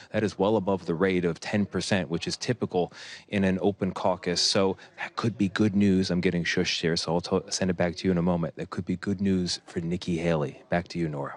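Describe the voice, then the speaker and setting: In a dry, close recording with no echo and a quiet background, a man talks at a fairly quick pace in a very deep, low voice. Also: fairly even intonation. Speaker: news correspondent. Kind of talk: live field report. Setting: indoor caucus site. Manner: speaking low, quiet.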